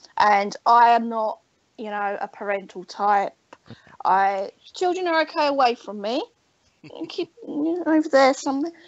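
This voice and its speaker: A high-pitched woman with an English accent, very wide pitch swings, a moderate pace, and long, frequent pauses. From England. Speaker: guest artist and crafter. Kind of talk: casual chat.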